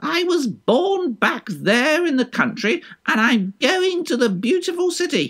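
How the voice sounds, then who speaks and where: In a put-on character voice with an extremely high pitch, a man sounds smug at a fairly slow pace. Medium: read story. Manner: smug, self-assured.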